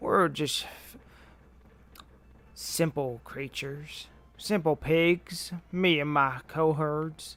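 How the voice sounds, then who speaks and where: Using a put-on character voice, a man speaks very slowly in a raised, projected, fairly high voice, with long, frequent pauses. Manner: humble, folksy.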